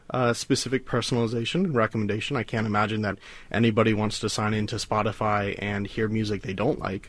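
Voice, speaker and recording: In an American accent, a man with a fairly low pitch talks at a very fast pace with fairly even intonation. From US South, South Carolina. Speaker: data scientist. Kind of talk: radio interview.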